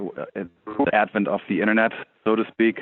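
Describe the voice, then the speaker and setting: A man with a German accent talks at a moderate pace. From Germany. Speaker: tech startup CEO. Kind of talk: interview.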